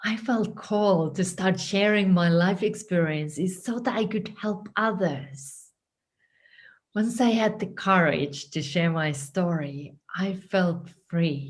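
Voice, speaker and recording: A woman with a Finnish accent speaks very slowly at a medium pitch. Her voice is somewhat breathy, with ordinary pitch variation. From Finland. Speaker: writing coach. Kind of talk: scripted narration.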